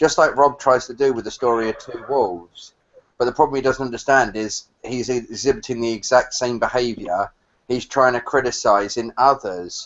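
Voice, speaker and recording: Here a man speaks in a British accent at a moderate pace. His medium-pitched voice shows ordinary pitch variation. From England. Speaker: caller. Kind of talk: casual chat. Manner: halting, many fillers; ends statements with yeah.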